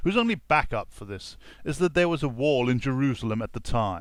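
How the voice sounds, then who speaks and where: A man with a medium-pitched voice speaks at a moderate pace. The recording is very clean, with a silent background. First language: not English. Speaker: YouTube vlogger. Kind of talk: rebuttal video commentary. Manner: blunt.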